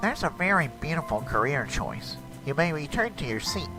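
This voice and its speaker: Over loud background music, a man uses a cartoonish character voice at a fairly high pitch and a moderate pace. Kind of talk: cartoon fan dub dialogue.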